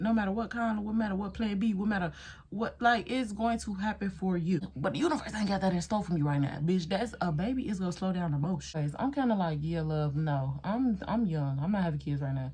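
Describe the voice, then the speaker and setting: Fairly quick and with hardly any pauses, a woman at medium pitch speaks in an animated, somewhat breathy tone with lively intonation. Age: 20s. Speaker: beauty vlogger. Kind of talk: casual chat.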